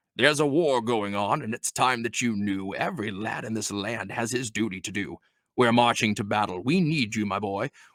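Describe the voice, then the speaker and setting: Using a put-on character voice, a man booms at a moderate pace. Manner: loud, booming, commanding.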